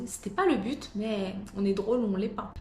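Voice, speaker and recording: Fairly high-pitched female speech with ordinary pitch variation against noticeable background noise. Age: 20s. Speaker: real estate agent. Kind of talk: casual talk to camera.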